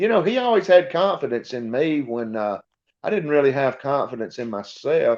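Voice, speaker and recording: A man with a North Georgia accent speaks in a fairly high voice. His pitch swings very widely. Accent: Southern North Georgia. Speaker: college sports broadcaster. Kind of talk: podcast interview.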